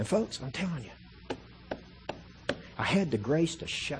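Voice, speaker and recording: A somewhat breathy, animated man's voice, fairly high in pitch. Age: 40s. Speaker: guest preacher and missionary. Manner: emphatic, punchy preacher cadence with repetitions and colloquial asides; animated, rising intensity while building an argument.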